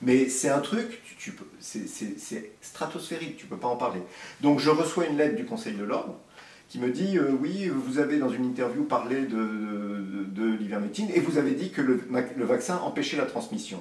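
A man speaks at a medium pitch with very wide pitch swings. Room echo is audible and background noise is noticeable. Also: fairly slow pace, big swings in loudness. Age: 50s. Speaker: surgeon. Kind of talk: interview.

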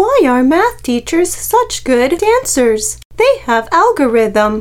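A put-on character voice that sounds female, delivered at a fairly slow pace.

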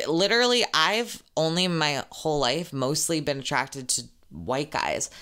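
A woman's very deep, low voice with a bright, sharp tone, lively intonation, very even loudness and a moderate pace, on a very clean recording with a silent background. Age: 20s. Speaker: podcast host and social media creator. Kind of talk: casual solo Q&A chat. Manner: casual, filler-heavy.

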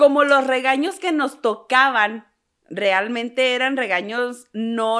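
Speaking at a very slow pace in a Mexican accent, the voice has a bright, sharp tone and ordinary pitch variation, on a very clean recording with a silent background. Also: woman. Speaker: podcast co-host. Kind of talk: casual chat.

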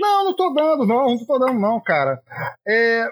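A man speaks at a moderate pace, the sound dry and close with no echo. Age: 30s. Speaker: football podcast co-host. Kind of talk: casual chat.

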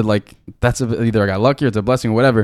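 In an American accent, a man speaks at a medium pitch with fairly even intonation. The sound is dry and close, with no echo. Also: very clean recording, silent background. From Miami, Florida. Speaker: podcast co-host. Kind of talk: casual chat.

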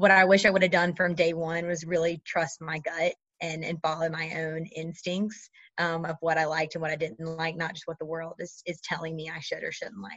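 A woman's fairly low voice in an American accent, a normal speaking voice at a fairly quick pace, with fairly even intonation and big swings in loudness. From North Carolina. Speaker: MBA student. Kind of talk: interview.

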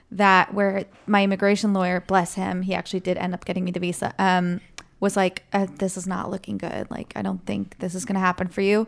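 A woman's medium-pitched, monotone, flat voice at a fairly quick pace, on a very clean recording with a silent background. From Switzerland. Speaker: actress. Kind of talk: casual interview chat.

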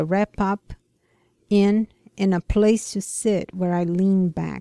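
In a dry, close sound with no echo and a very clean recording with a silent background, a woman with a Brazilian accent speaks very slowly at a medium pitch in a dark, mellow tone. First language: Portuguese. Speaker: ministry care coordinator. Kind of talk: casual interview chat with devotional reading. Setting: radio studio.

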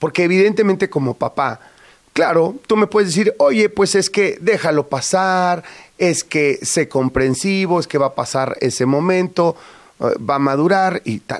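A man's high-pitched, animated voice at a fairly slow pace, dry and close with no echo, on a very clean recording with a silent background. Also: ordinary pitch variation. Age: 50s. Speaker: radio host. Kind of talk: casual chat.

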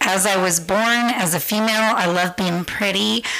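Over noticeable background noise, a woman in a Californian accent speaks with fairly even intonation. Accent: General American (Californian). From US West Coast, San Francisco. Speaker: podcast guest. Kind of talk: casual chat.

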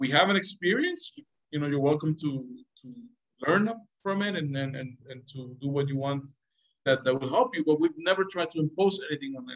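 A man with a Spanish accent speaks at a fairly quick pace in a fairly high voice, his pitch varying in an ordinary way while his loudness swings widely and long pauses come often. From Venezuela. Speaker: government diplomat. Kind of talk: interview. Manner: halting, many repetitions and fillers.

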